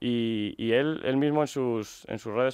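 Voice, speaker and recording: Over a quiet background, a man speaks with fairly even intonation in a dry sound with no echo. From Spain, Medina del Campo (Castile and León); Castile and León, Spain. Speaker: illustrator and graphic designer; interviewee. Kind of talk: radio interview. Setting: radio studio. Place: studio.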